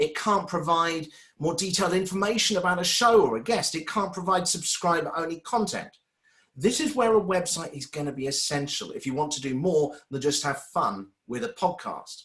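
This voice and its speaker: A man with a British accent speaks at a moderate pace, his high voice rising and falling in a lively way. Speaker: webinar presenter and former radio presenter. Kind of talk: webinar presentation.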